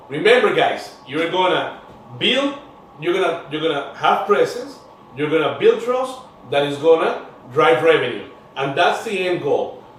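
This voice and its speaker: A man with an animated tone speaks at a high pitch with very wide pitch swings and a moderate pace, amid audible room echo and noticeable background noise. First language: Spanish. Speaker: podcast host. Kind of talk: interview show.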